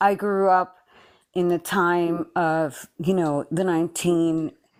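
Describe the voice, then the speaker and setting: A woman with a Spanish accent and a fairly low pitch speaks at a very slow pace in a monotone, flat intonation with very even loudness, on a very clean recording with a silent background. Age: 40s. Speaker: game contestant. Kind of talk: casual chat. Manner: halting.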